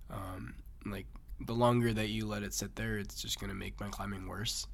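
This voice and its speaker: A man with an American accent talks, and audible room echo can be heard. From Massachusetts. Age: young. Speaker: competitive climber. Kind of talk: interview.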